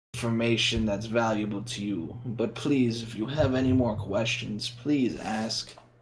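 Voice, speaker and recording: In a put-on character voice, the speaker keeps a moderate pace with hardly any pauses. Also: man, medium pitch for a man. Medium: actual play. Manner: gentle, courteous.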